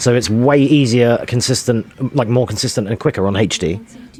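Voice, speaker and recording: Over music in the background, a man speaks at a medium pitch and a moderate pace with ordinary pitch variation. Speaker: speedrunner. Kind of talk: gameplay commentary.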